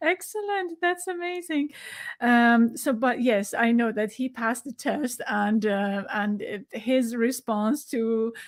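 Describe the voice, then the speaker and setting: Someone with a non-native accent speaks at a very slow pace with lively intonation. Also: woman, high pitch for a woman, very clean recording, silent background. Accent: foreign accent in English. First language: Farsi. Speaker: podcast host. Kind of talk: interview.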